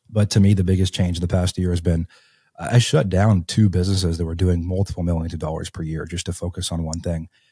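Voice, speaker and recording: Very deep and low, a man's dark, mellow, somewhat breathy voice races at a very fast pace in a flat monotone, recorded dry and close with no echo, very clean, over a silent background. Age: 20s. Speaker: real estate entrepreneur. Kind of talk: podcast interview. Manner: casual, many fillers.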